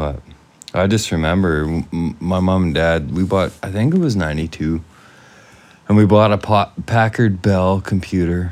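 A man with a western Canadian accent speaks at a very deep, low pitch with ordinary pitch variation. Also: fairly slow pace. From western Canada (British Columbia and Alberta). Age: 40s. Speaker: podcast co-host. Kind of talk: casual chat.

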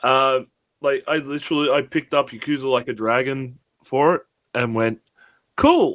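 On a very clean recording with a silent background, a man with an Australian accent talks at a moderate pace and medium pitch, his fairly even intonation broken by long, frequent pauses. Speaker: gaming podcast co-host. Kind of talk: casual chat.

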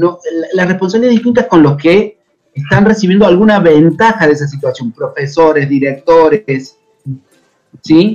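A man speaks with lively intonation. His voice sits high in pitch. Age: 40s. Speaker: folk dancer and dance teacher. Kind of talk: interview.

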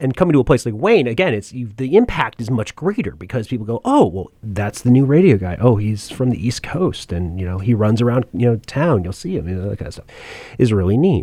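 With an American accent, a man speaks at a fairly quick pace in a dark, mellow tone, his medium pitch making very wide swings. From New Jersey (central Jersey). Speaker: radio production professor. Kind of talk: casual interview chat.

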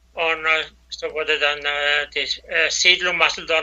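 Noticeable background noise sits behind a man speaking slowly-ish, at a fairly slow pace, with fairly high pitch. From Batschka region, Serbia (Danube Swabian). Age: 70s. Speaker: former president of a cultural federation. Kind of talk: interview. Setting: WhatsApp call.

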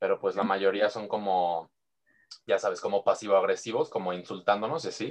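The pace here is fairly quick. It is a man doing the talking. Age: 20s. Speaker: student pilot. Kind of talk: casual chat.

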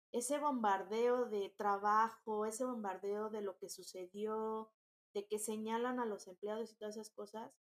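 A woman speaks at a fairly slow pace. Her pitch is fairly high and her intonation fairly even. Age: 30s. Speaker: entrepreneur. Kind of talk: interview.

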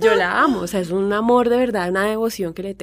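A woman in a normal speaking voice, with a moderate pace and ordinary pitch variation, on a very clean recording with a silent background. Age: 30s. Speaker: fashion blogger and influencer. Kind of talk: casual chat.

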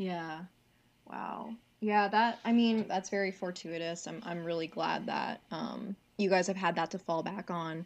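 An unremarkable speaking voice from a woman with an American accent, medium in pitch, with fairly even intonation and a fairly slow pace. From New York State (Cornwall, upstate). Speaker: podcast co-host. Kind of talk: casual podcast chat.

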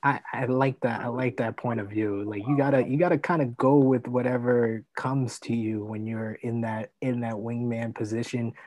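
A man speaks in an ordinary speaking voice, medium in pitch, with fairly even intonation. His moderate pace has hardly any pauses, over a quiet background. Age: 30s. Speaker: podcast host. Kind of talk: casual chat.

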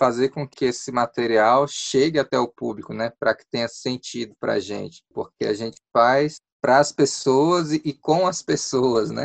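A man's medium-pitched voice, with ordinary pitch variation, is heard in a dry, close sound without echo. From Brazil, Ceilândia (Federal District). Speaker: puppeteer and arts association president. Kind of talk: radio interview. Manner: hesitant with fillers.

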